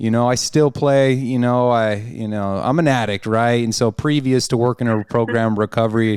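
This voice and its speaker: A man with an American accent and a plain, everyday voice speaks at a medium pitch and a moderate pace, with fairly even intonation and hardly any pauses, in a very clean recording with a silent background. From Arizona, US (Peoria). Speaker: podcast host, person in addiction recovery. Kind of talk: casual chat, personal recovery testimony. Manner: filler-heavy, conversational.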